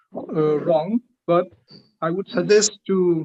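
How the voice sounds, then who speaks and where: In a Northeast Indian accent, a man talks in a high voice with ordinary pitch variation. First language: Liangmai. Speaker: linguistics researcher giving feedback. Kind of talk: academic feedback in a seminar. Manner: hesitant, many fillers.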